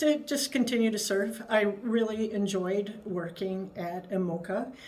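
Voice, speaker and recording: A woman with an American accent talks at a fairly slow pace and medium pitch, with ordinary pitch variation. Room echo is audible. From Wisconsin, US Midwest. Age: 60s. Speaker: state agency head, retired navy officer. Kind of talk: interview.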